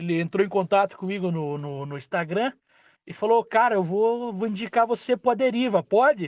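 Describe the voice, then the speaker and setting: Speaking at a moderate pace, a man uses a high pitch and lively intonation. The sound is dry and close with no echo, over a quiet background. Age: 30s. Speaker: truck driver. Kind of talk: casual chat.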